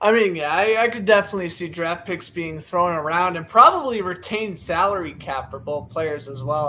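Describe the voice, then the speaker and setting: A man's fairly high-pitched voice with an American accent, at a moderate pace, with ordinary pitch variation and noticeable background noise. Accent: Boston accent, slips sometimes. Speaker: sports podcast host. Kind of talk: live play-by-play commentary. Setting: live stream on camera.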